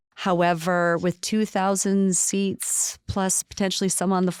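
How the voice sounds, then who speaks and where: No echo colors this dry, close sound. Behind it lies a silent background on a very clean recording. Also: woman. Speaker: city recreation staff member. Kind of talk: podcast interview. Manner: fast.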